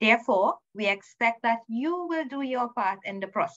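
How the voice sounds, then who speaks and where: Against a quiet background, a woman's pitch swings very widely. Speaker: student services manager hosting orientation. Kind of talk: welcome address. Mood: warm, welcoming. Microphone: video call.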